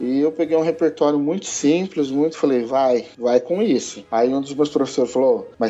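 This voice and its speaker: A man speaks at a moderate pace and medium pitch. His tone is dark and mellow, with ordinary pitch variation. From Brazil, Ribeirão Preto, São Paulo interior. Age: 30s. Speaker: band conductor and association president. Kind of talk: casual interview.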